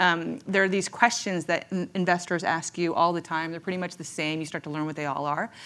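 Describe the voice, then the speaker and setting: On a very clean recording with a silent background, a woman speaks in a plain, everyday voice. Her pitch is fairly low, with ordinary pitch variation. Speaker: tech founder. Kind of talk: casual panel chat. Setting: stage with audience.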